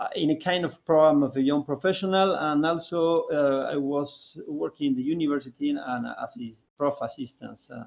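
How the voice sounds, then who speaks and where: A man with a Spanish accent at a moderate pace, with hardly any pauses. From Argentina. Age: 40s. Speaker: development consultant. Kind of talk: alumni talk, online seminar. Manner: halting, many fillers and repetitions.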